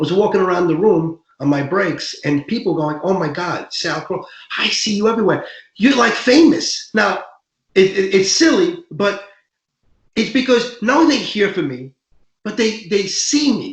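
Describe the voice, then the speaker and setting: A New York accent at a moderate pace, with very wide pitch swings. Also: man, high pitch for a man. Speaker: real estate broker. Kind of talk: panel discussion. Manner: animated, talks with hands.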